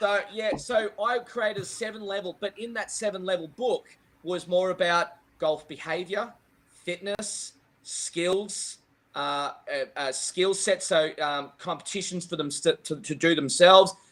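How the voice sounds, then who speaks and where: Loud and fairly slow, a man speaks in a high pitch. He has an Australian accent. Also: ordinary pitch variation. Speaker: golf professional and junior coach. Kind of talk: casual interview chat. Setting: live video podcast.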